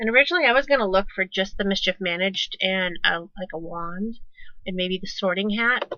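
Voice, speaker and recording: A woman mumbles at a fairly quick pace in a medium pitch, with a bright, sharp tone, ordinary pitch variation and big swings in loudness. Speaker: crafting tutorial youtuber. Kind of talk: tutorial. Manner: mumbles to herself; casual, conversational.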